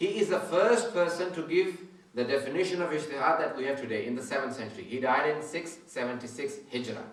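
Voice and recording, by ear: In a room with strong echo, a man talks at a fairly quick pace with few pauses, his fairly high voice showing ordinary pitch variation.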